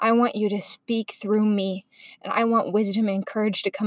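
A woman's monotone, flat delivery at a moderate pace, dry and close with no echo. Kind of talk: fervent spoken prayer. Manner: intimate, earnest, heartfelt, soft and sincere.

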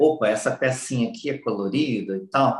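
A somewhat breathy man speaks at a fairly slow pace, his pitch swinging very widely. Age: 40s. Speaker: personal development speaker. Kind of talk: interview.

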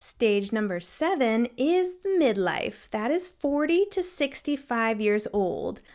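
A woman's high voice moves through very wide pitch swings at a very slow pace, with hardly any pauses. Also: very clean recording, silent background. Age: 30s. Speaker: mental health counselor, podcast host. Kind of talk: solo educational podcast talk. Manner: casual, conversational.

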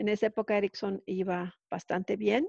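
The woman has an unremarkable speaking voice of medium pitch, speaking at a fairly slow pace in a dry, close sound with no echo. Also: quiet background. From Mexico. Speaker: telecom engineer living abroad. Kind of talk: interview.

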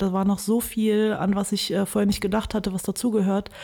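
The intonation is monotone and flat. The tone is dark and mellow. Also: woman. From Germany, Wuppertal. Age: 30s. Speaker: filmmaker. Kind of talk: interview.

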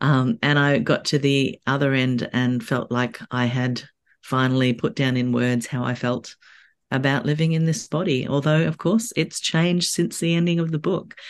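The speaker talks at a moderate pace in an Australian accent. The background is quiet. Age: 50s. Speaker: author. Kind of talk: casual interview chat. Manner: halting, many fillers.

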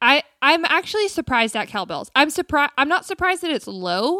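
In a very clean, dry and close recording with a silent background and no echo, a woman with an American accent speaks in a raised, projected voice, her tone bright, sharp and animated, with very wide pitch swings at a fairly quick pace. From US South, South Carolina. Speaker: podcast co-host. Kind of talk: casual chat.

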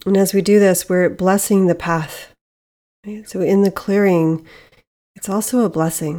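On a very clean recording with a silent background, a woman speaks at medium pitch with fairly even intonation. Her tone is dark and mellow, calm and soothing. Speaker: yoga and meditation teacher. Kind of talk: guided meditation. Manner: slow, calm, soothing with long pauses; gentle, soft-spoken.

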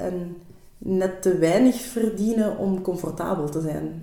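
A woman talks at a fairly slow pace while noticeable background noise and audible room echo fill the recording. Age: 30s. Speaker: primary school teacher. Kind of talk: casual chat. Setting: studio.

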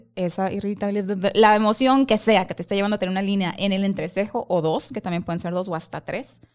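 A woman speaks at a fairly quick pace with medium pitch. The recording is very clean, with a silent background. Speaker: face-reading coach. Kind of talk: casual chat.

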